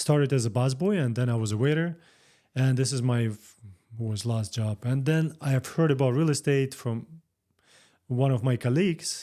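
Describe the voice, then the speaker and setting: A man with a Russian accent speaks at a medium pitch with a dark, mellow tone and ordinary pitch variation. His moderate pace includes long, frequent pauses, in a very clean recording over a silent background. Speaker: real estate broker. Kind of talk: interview. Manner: halting.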